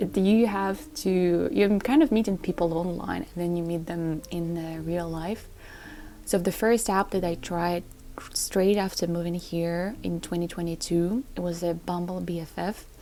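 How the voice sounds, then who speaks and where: The voice has a dark, mellow tone and a non-native accent. It moves at a moderate pace with fairly even intonation. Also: woman, fairly low pitch for a woman. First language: not English. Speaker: lifestyle vlogger. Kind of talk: casual vlog talk to camera. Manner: halting with self-corrections.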